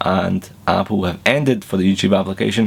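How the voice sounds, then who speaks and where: Noticeable background noise sits under speech in a Glaswegian accent at a fairly quick pace. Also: man. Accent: Glaswegian Scottish. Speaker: tech reviewer. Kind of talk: tech news vlog. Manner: casual, chatty.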